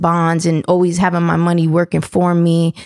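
A woman's fairly low voice at a moderate pace, in a very clean recording with a silent background and a dry, close sound with no echo. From New London, Connecticut. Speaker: brand manager. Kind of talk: casual chat.

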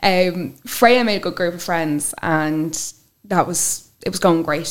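A woman with an Irish accent at a medium pitch, on a very clean recording with a silent background. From Ireland, with childhood years in France and Wales. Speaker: interview guest sharing life story. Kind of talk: personal testimony interview.

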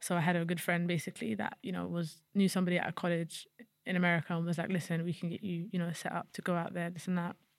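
At a very fast pace, a woman with a London accent speaks at a fairly low pitch with fairly even intonation. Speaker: footballer, national team captain. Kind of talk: casual interview.

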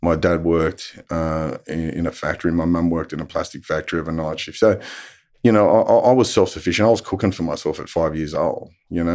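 A man with a very deep, low pitch rattles along at a very fast pace in a strong Australian accent. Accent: broad Australian. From Australia, western Sydney. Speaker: abuse survivor and advocate. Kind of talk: testimony. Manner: halting.

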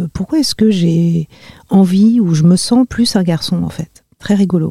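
The voice has a dark, mellow tone, somewhat breathy with ordinary pitch variation, in a dry, close sound with no echo. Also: woman. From Paris region, France. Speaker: human rights and gender specialist. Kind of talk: interview. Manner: halting, many hesitations.

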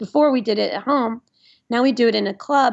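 A woman with an American accent talks in a plain, everyday voice at a fairly quick pace with ordinary pitch variation. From US South, Nashville, Tennessee. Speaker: musician and lawyer. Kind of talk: casual chat.

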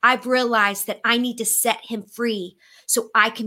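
In an American accent, a woman speaks in a high voice with a bright, sharp tone. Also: very clean recording, silent background. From Florida, US. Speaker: co-host. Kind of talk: casual panel chat.

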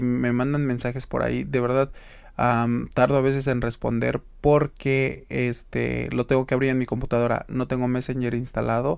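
Monotone, flat intonation at a medium pitch marks this man's moderate-paced speech. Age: 20s. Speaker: podcast host. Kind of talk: casual monologue.

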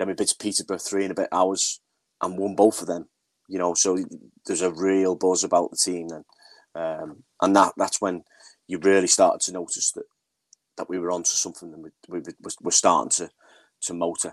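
A man with a Liverpool accent, very deep and low in pitch, monotone and flat, fairly quick in pace yet with long, frequent pauses. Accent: sounds like a Liverpool speaker. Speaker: women's football manager. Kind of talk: casual interview.

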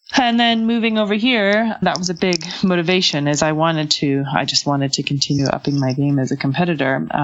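Against noticeable background noise, a woman with a very deep, low pitch talks at a fairly quick pace, with lively intonation and very even loudness. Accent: Canadian. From western Canada. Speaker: Olympic event rider. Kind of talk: interview. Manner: hesitant, many fillers.

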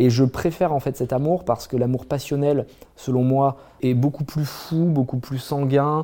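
This man has a dark, mellow tone. He talks at a fairly slow pace with fairly even intonation. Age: 30s. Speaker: entrepreneur. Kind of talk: interview. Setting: on a barge by a fireplace.

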